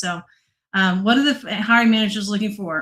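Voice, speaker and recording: With a Southern US accent, a woman speaks at a fairly quick pace. Her pitch is medium. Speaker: data analytics presenter. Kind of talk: online presentation.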